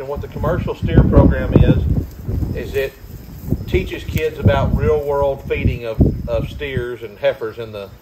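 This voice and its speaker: Loud background noise runs under a man talking at a moderate pace. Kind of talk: casual vlog explanation. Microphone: camera far.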